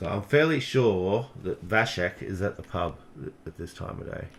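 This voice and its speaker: Lively intonation with an Australian accent. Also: man. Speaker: gaming streamer. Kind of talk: live game commentary. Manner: quieter late-night voice.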